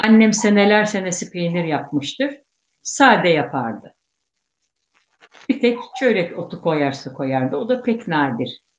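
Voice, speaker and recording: A woman of medium pitch at a very slow pace, with very wide pitch swings and long, frequent pauses. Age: 60s. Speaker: guest, elder Circassian cheesemaker's relative. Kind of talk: casual interview reminiscence.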